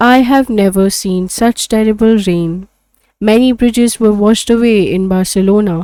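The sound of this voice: The clip features an unforced reading voice against a quiet background.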